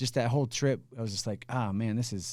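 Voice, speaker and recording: A man at a medium pitch and a fairly quick pace. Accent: Midwestern US. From Indiana. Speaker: HR executive. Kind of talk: casual interview.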